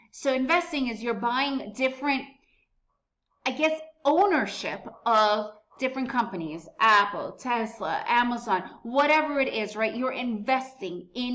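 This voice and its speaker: In an American accent, a woman with a high pitch and a bright, sharp, animated tone speaks at a fairly slow pace with lively intonation amid audible room echo. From United States (Soviet-born refugee). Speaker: day trading educator. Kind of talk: tutorial.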